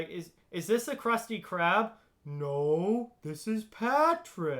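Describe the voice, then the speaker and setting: This put-on character voice has a fairly high pitch and very wide pitch swings, delivered at a very slow pace. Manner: dim, goofy.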